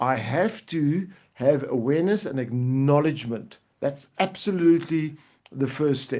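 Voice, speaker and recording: A man talks at a fairly high pitch and fairly slow pace in an ordinary speaking voice. His pitch variation is ordinary, and the background is quiet. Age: 60s. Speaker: life coach. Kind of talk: livestream coaching talk. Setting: live video stream.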